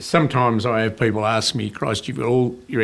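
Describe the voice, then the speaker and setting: With an Australian accent, the speaker goes at a fairly quick pace using fairly even intonation. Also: man. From Tasmania, Australia. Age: 60s. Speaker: business owner. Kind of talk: interview. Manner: halting.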